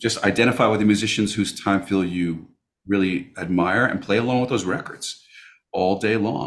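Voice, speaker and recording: This is a very clean recording with a silent background. A man with a fairly low pitch talks at a fairly quick pace. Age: 60s. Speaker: jazz guitarist and music professor. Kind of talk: interview. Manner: conversational, halting.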